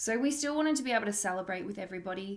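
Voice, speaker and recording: Ordinary pitch variation comes through in an Australian accent. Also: woman. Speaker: podcast host. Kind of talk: casual monologue.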